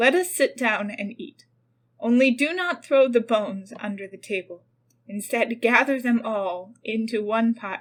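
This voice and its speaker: A woman puts on a character voice, fairly high in pitch, at a moderate pace. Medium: read story.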